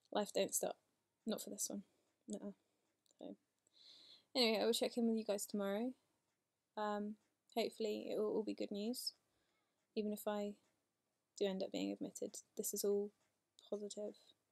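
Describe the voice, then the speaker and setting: The sound is dry and close, with no echo. A woman talks at a fairly quick pace but leaves long, frequent pauses. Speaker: vlogger with multiple sclerosis. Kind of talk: video diary. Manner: fast.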